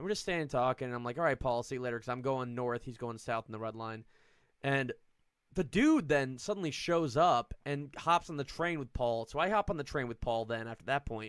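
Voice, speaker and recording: A man with an American accent talks at a fairly quick pace in an ordinary speaking voice, medium in pitch with ordinary pitch variation. The sound is dry and close, with no echo. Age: 30s. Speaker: comedian. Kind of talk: casual chat.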